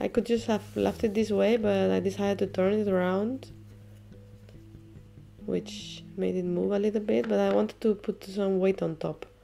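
A woman speaks at a fairly slow pace, with long, frequent pauses. Music plays in the background. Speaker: enamel artist. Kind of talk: craft tutorial narration.

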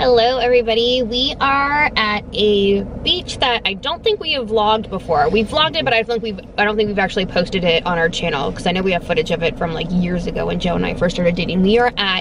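Over noticeable background noise, a woman talks at a very fast pace with hardly any pauses, the sound dry with no echo. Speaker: family vlogger. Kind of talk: casual vlog chat. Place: car. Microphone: phone near.

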